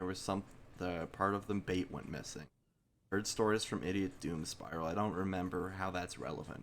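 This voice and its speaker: A man speaks quietly at a moderate pace in a very deep, low voice. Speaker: video game streamer. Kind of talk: live gameplay commentary.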